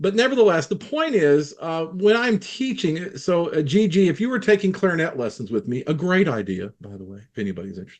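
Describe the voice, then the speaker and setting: A man speaks with very wide pitch swings. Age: 60s. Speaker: clarinet teacher, former professor. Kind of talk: casual group discussion.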